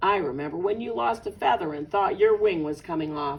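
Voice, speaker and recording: A put-on character voice at middle pitch and a fairly quick pace. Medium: read story.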